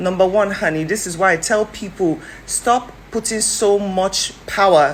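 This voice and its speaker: A woman's medium-pitched, animated voice with ordinary pitch variation over noticeable background noise. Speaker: social commentator. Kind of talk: video commentary. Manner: fast.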